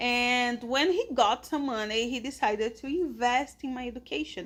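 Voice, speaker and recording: Her intonation is lively, with a Portuguese accent. The woman is heard on a very clean recording with a silent background. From Brazil (São Paulo, Pernambuco family). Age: 30s. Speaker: English teacher. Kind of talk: casual podcast monologue for English learners. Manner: slow, clear with hesitations.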